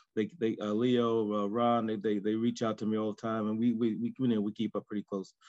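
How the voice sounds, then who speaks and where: Speaking fairly quickly with hardly any pauses, a man with a New York accent keeps a flat, monotone intonation against a quiet background. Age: 50s. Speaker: coach. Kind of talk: casual group discussion. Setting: video call. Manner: halting. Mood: grateful, positive. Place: home room. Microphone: video call.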